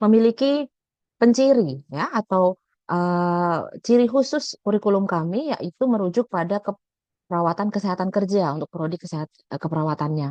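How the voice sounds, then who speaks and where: A woman speaks with lively intonation and a dark, mellow tone. The sound is dry and close with no echo, over a quiet background. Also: medium pitch for a woman, moderate pace. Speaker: nursing lecturer. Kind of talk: webinar presentation. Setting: video call.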